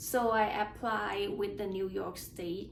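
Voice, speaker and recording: A woman speaks at a very slow pace in a Thai accent, with ordinary pitch variation. Room echo is audible. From Thailand. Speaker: nurse sharing exam experience. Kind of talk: casual personal vlog. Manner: halting with repeated words.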